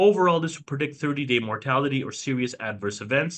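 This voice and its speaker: A man speaks loudly in a bright, sharp tone with lively intonation against a quiet background. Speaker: emergency physician. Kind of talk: lecture. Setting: video call.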